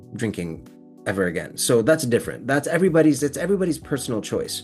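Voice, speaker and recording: With music playing behind him, a man speaks at a fairly high pitch, his pitch swinging very widely. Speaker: sobriety program host. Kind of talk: interview host, casual conversation.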